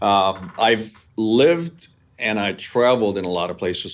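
The speaker has a normal speaking voice. The pace is fairly slow. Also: man. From New York area (born in Hungary). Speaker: business executive. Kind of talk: interview.

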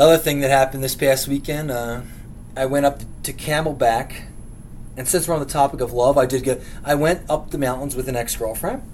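At a moderate pace, a man uses a normal speaking voice with a fairly high pitch and fairly even intonation. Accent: American. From Philadelphia, lifelong resident. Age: 30s. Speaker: podcast host. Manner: blunt, profane, comedic rant style.

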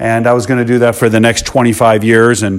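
In a plain, everyday voice, a man with an American accent speaks at a moderate pace and a medium pitch. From Chicago South Suburbs, US. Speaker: entrepreneur and podcast host. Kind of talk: podcast monologue.

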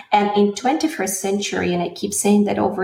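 A woman speaks at a moderate pace with a slight Russian accent. Her intonation is fairly even. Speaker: singer. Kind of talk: interview.

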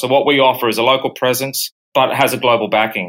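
With an Australian accent, a man talks at a very fast pace and fairly even intonation. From Brisbane, Australia. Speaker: payments company executive. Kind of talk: interview.

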